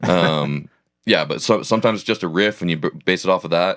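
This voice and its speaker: In a very clean recording with a silent background and a dry, close sound with no echo, a man with an American accent speaks at a fairly quick pace. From Oregon. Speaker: country singer. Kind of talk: casual chat.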